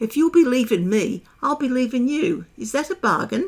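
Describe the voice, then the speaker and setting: A woman puts on a character voice pitched high. She keeps a moderate pace. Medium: read story. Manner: careless, offhand.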